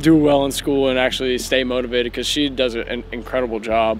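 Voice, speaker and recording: With an American accent, a man speaks at a medium pitch and a fairly quick pace. His intonation is fairly even, and there is noticeable background noise. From US South, Tennessee (Oak Ridge, near Knoxville). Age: 20s. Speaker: American football player. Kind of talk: casual self-introduction vlog. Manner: hesitant, many fillers.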